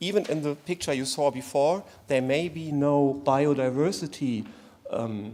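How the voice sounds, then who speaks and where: In a German accent, a man speaks fairly slowly with a fairly high pitch, a dark, mellow tone and ordinary pitch variation. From Germany. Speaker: conference panelist. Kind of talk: conference presentation. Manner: halting.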